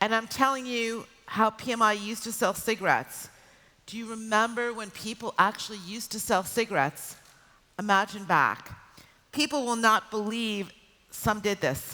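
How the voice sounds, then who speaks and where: A woman speaks with an American accent in a fairly high pitch and a bright, sharp tone. Her loudness swings widely. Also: ordinary pitch variation, moderate pace. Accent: American, very apparent. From United States. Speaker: corporate communications executive. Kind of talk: conference keynote talk. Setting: stage with audience.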